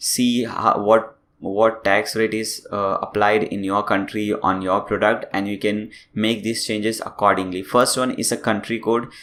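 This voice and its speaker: A man with an Indian accent, monotone and flat in intonation, fairly slow yet with hardly any pauses. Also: fairly low pitch for a man. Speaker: tech tutorial youtuber. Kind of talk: tutorial.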